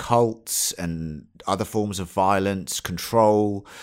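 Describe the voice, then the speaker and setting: In a very clean recording with a silent background, a man with a British accent speaks at a very slow pace in a fairly low pitch. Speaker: podcast host. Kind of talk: casual chat.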